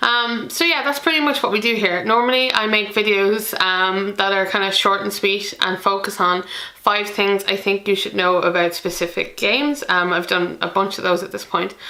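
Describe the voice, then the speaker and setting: Over noticeable background noise, a woman with an Irish accent talks at a moderate pace and medium pitch with ordinary pitch variation. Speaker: board game youtuber. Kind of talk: casual vlog talk to camera. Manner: hesitant, many fillers.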